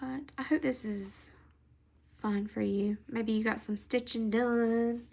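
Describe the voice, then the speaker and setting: Her voice sits fairly high and keeps a fairly level melody. Clear background noise can be heard throughout. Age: 40s. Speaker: crafting channel host. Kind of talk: casual stitch-along chat.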